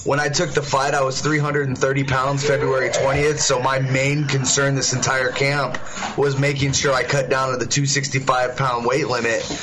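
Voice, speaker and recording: A man's fairly high voice at a fairly slow pace, hardly any pauses, very even loudness, and monotone, flat intonation over noticeable background noise. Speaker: fighter. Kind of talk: casual interview.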